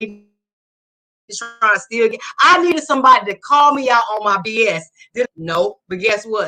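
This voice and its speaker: Loud and bright with a sharp tone, a woman's fairly high voice moves at a moderate pace with lively intonation. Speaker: military veteran in recovery. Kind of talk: testimony. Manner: passionate, animated.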